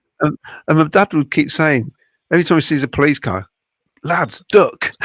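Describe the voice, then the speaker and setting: A man with vocal fry uses lively intonation, recorded with a dry, close sound with no echo. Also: fairly high pitch for a man, moderate pace, very clean recording, silent background. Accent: West Midlands. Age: 60s. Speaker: football podcast panelist. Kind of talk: casual chat. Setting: live streamed podcast watchalong.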